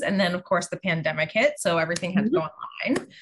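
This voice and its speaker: A somewhat breathy woman's voice with a Pittsburgh accent. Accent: Pittsburgh American. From US, Pittsburgh. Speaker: tarot reader. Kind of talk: casual interview chat.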